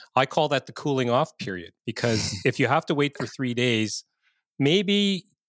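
An ordinary speaking voice moves at a moderate pace, recorded very clean with a silent background and a dry, close sound with no echo. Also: man. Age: 50s. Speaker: podcast host, real estate investor. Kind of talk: interview conversation.

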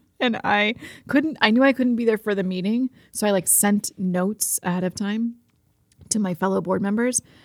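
A woman with an American accent has an ordinary speaking voice at medium pitch, ordinary pitch variation and a moderate pace, recorded with a dry, close sound with no echo. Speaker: market executive director. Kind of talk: casual chat. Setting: studio. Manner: cheerful, laughs often.

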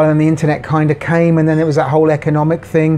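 A man with a British accent at a very fast pace. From Jersey, Channel Islands. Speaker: bar manager. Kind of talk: casual interview. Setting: in a bar.

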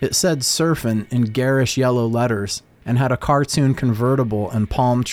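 This is an unforced reading voice. It is heard throughout the clip.

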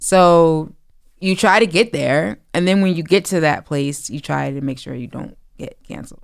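An ordinary speaking voice from a woman with an American accent, fairly low in pitch, at a moderate pace, with big swings in loudness. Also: lively intonation. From New Jersey, East Orange. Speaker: author and writing coach. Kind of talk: casual chat. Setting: studio.

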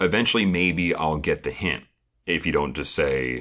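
In a very clean recording with a silent background, a man with a very deep, low pitch and a bright, sharp tone talks at a moderate pace, showing vocal fry and ordinary pitch variation. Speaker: podcast co-host discussing a reality show. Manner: conversational, analytical.

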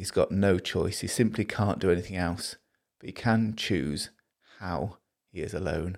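The recording is very clean, with a silent background, as a man with a Liverpool accent speaks at a moderate pace. His voice is fairly low, and his intonation fairly even. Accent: Scouse (Liverpool). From Liverpool, northern England. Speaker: preacher. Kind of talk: sermon.

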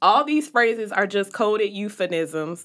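On a very clean recording with a silent background, a woman with a bright, sharp tone speaks at a fairly slow pace. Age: 30s. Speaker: podcast co-host. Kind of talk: casual chat. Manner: animated, humorous.

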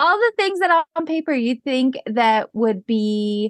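With an American accent, a woman speaks in an unremarkable speaking voice at a moderate pace with ordinary pitch variation, in a dry, close sound with no echo and a quiet background. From Pennsylvania, US. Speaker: business coach. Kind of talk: interview.

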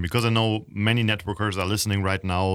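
A man with a German accent speaks at a fairly quick pace on a very clean recording with a silent background. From Germany. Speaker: podcast host, network marketer. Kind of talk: casual interview.

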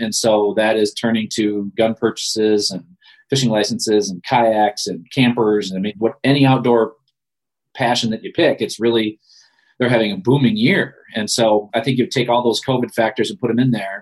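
A man with an American accent talks at a moderate pace in a plain, everyday voice, medium in pitch with fairly even intonation. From Michigan (Ludington). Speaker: outdoor TV show host and producer. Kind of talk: interview.

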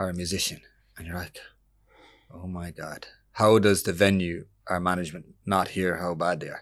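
With an Irish accent, a man speaks at a very deep, low pitch and moderate pace in monotone, flat intonation, with long, frequent pauses and big swings in loudness over a quiet background. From Ireland. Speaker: musician. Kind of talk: casual chat.

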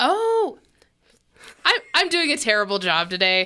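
On a very clean recording with a silent background, a woman in a raised, projected voice speaks at a very slow pace with a bright, sharp tone and very wide pitch swings. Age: 30s. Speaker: podcast co-host. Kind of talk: casual chat.

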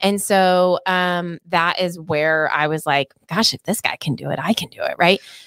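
A woman with a plain, everyday voice speaks at a moderate pace with a fairly low pitch and fairly even intonation. She leaves hardly any pauses, and the sound is dry and close with no echo. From Oklahoma. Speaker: real estate team owner and broker. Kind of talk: podcast interview.

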